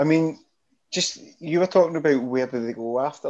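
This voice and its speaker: Here a man talks with a Scottish accent. His intonation is lively. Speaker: podcast co-host. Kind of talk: casual chat. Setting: video call.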